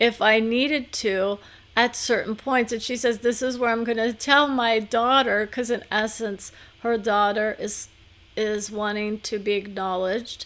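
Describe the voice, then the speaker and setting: In an ordinary speaking voice, a woman talks at a fairly slow pace. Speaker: psychic medium channeler. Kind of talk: live channeling session.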